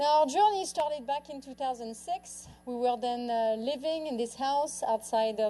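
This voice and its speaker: A woman speaks in a French accent at a moderate pace. Her tone is dark and mellow, with ordinary pitch variation. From France. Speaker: author and lifestyle speaker. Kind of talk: public talk. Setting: stage with audience.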